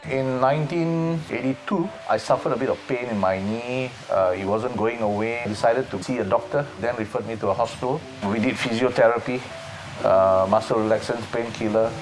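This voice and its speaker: Noticeable background noise under a man talking fairly quickly at medium pitch, his pitch varying in an ordinary way. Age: 60s. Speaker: para powerlifter and fitness coach. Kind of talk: interview testimony. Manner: hesitant, with fillers.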